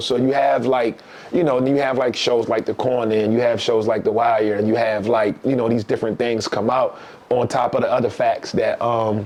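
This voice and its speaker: A man with a Baltimore accent speaks at a moderate pace in an animated tone, his medium-pitched voice holding very even loudness. Noticeable background noise runs underneath. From East Baltimore, Maryland. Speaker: author and professor. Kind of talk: casual interview chat. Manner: animated storytelling.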